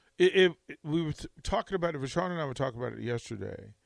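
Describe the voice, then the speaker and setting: Lively intonation marks this man's speech, delivered at a fairly quick pace. The recording is very clean, with a silent background. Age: 50s. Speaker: radio host, broadcasting veteran. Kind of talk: casual sports talk radio. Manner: animated.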